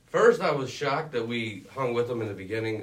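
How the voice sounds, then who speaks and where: Delivered at a fairly quick pace, a man's plain, everyday voice holds a medium pitch with ordinary pitch variation. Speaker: student sports reporter. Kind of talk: casual sports chat.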